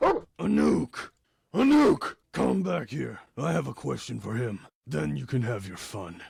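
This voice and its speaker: A man puts on a raspy character voice at a fairly low pitch, with very wide pitch swings and a fairly slow pace. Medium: audio drama. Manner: commanding, imperious.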